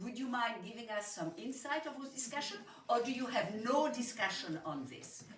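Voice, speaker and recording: A woman with a French accent speaks in a high voice with lively intonation. Noticeable background noise and audible room echo are present. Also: moderate pace, big swings in loudness. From Switzerland. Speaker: audience member asking a question. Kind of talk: audience question.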